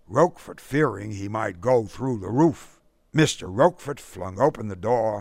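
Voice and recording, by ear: The passage is read aloud in a natural voice.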